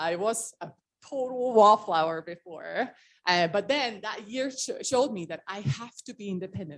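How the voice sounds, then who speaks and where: This woman speaks in an Estonian accent at a moderate pace. Her pitch is medium and her intonation is lively. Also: big swings in loudness. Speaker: motivational speaker. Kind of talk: talk to a meeting. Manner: casual, filler-heavy.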